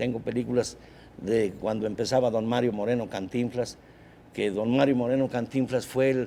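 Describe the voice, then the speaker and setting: In a dark, mellow tone, a man speaks at medium pitch and a moderate pace, with monotone, flat intonation. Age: 70s. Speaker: engineer and film projector collector. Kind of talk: TV interview. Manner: halting.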